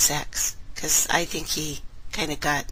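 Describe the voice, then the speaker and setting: Very slowly and in a monotone, flat intonation, a woman speaks at a very deep, low pitch. Noticeable background noise runs underneath. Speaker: online radio host. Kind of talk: casual live-stream chat. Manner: soft-spoken. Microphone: too quiet, listeners had to turn her up.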